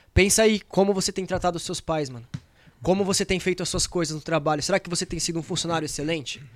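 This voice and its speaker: This man has a high pitch and ordinary pitch variation. He talks at a very fast pace with big swings in loudness. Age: 20s. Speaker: young church member back from mission trip. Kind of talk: exhortation; casual podcast chat.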